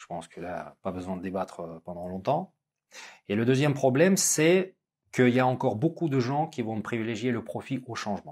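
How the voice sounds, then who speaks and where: The voice moves in very wide pitch swings at a moderate pace. The background is quiet. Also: man, big swings in loudness. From Russia. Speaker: business school lecturer and interviewer; business school lecturer, interviewer. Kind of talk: interview conversation. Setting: business school campus. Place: studio.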